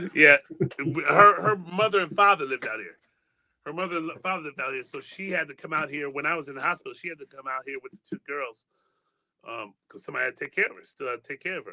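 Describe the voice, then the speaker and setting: A man speaks very fast with an American accent, his pitch fairly high and its variation ordinary, his tone bright and sharp, and the sound dry and close with no echo. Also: big swings in loudness. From Michigan (Muskegon). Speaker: spoken word poet. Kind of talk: interview testimony. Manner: halting, repetitive.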